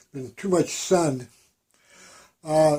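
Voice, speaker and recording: Fairly slow in pace, this dark, mellow voice varies its pitch in an ordinary way. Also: man. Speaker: painter. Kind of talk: casual talk about own artwork. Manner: halting, many fillers.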